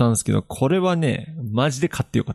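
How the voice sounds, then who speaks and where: Heard in a dry, close sound with no echo, a man's voice swings very widely in pitch. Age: 20s. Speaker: podcast co-host. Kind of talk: casual chat.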